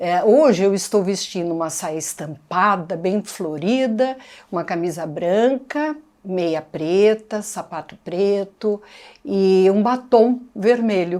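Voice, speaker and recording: Very slowly, a woman speaks in a dark, mellow tone. Her intonation is lively. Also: medium pitch for a woman. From Brazil, Santo André (São Paulo state). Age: 60s. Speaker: museum interviewee, former arts educator. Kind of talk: oral history interview.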